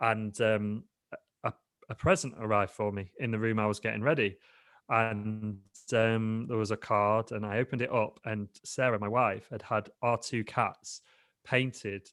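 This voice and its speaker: Speaking in a British accent, a man has a fairly low pitch and fairly even intonation at a moderate pace. The recording is very clean, with a silent background. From England, Lincoln. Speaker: digital entrepreneur, podcast guest. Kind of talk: casual interview chat.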